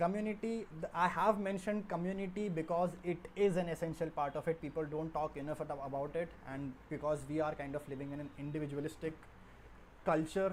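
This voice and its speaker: Speaking in a plain, everyday voice, a man keeps a fairly quick pace and fairly even intonation at a fairly high pitch. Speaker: software developer livestreamer. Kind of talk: live coding stream talk. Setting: livestream.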